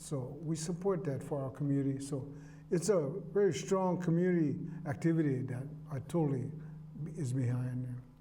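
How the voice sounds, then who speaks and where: At a moderate pace and with long, frequent pauses, the voice sounds dark, mellow and somewhat breathy, with audible room echo. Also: man, fairly high pitch for a man, ordinary pitch variation. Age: 60s. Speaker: market musician. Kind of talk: casual interview chat.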